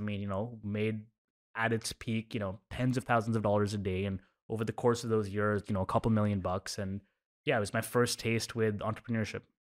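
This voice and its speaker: A man talks very fast at a medium pitch. The sound is dry and close, with no echo. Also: very clean recording, silent background. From Oman (Indian family). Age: 30s. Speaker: startup founder. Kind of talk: interview conversation.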